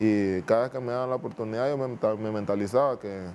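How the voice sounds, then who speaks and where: The speech moves at a moderate pace with fairly even intonation over light background noise. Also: man. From Honduras, Nueva Armenia; Honduras. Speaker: footballer; guest. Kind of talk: interview. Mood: calm, reflective. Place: studio. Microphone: lapel.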